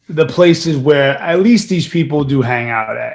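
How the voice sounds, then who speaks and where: At a fairly slow pace, a man talks with a New York accent. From New York (Brooklyn, raised in Queens). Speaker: actor. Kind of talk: casual interview.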